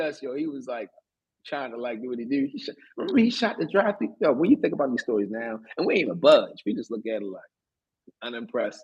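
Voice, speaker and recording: Very fast, a man with a Baltimore accent talks at a fairly high pitch. His pitch swings very widely. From US, Baltimore, Maryland. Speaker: podcast co-host. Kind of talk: casual storytelling chat. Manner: animated, halting with fillers.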